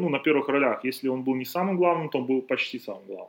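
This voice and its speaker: There's ordinary pitch variation in this man's speech. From Belarus. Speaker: basketball podcast host and trainer. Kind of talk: casual chat. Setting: outdoors in the sun.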